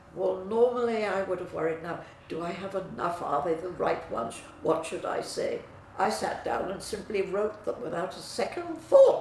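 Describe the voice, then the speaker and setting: A woman is speaking in a room with audible echo. Noticeable background noise sits behind her. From England. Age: 90s. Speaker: client giving testimonial. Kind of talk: testimony. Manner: slow.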